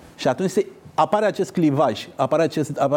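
With an ordinary speaking voice, the man keeps a moderate pace and his pitch varies in an ordinary way. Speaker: politician and former diplomat. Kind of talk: interview.

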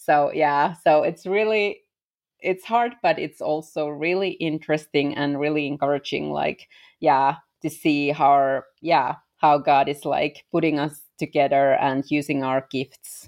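A woman talks with a Finnish accent at a very deep, low pitch. Her pace is fairly slow. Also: ordinary pitch variation, quiet background. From Finland. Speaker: missionary. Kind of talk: interview conversation. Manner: frequent laughter; halting.

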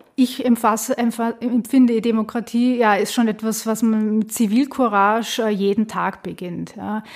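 A woman with a fairly high pitch talks at a moderate pace in a monotone, flat intonation with hardly any pauses. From Austria, Vienna. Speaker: political scientist. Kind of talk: interview. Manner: hesitant, many fillers.

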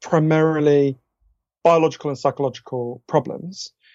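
This man has a British accent and a fairly high pitch. He talks at a moderate pace. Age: 40s. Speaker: author. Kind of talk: interview conversation.

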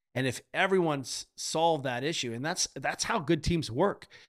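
A man speaks in an ordinary speaking voice with an American accent, his fairly high pitch moving at a fairly quick pace over a very clean recording with a silent background. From grew up in Europe, American family. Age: 50s. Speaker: physical therapist and strength coach. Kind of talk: casual interview chat.

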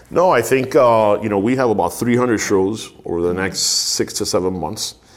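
There is noticeable background noise as a man with an American accent speaks in a fairly low voice with ordinary pitch variation. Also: moderate pace. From Miami, US. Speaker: marketing and live events executive. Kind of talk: interview.

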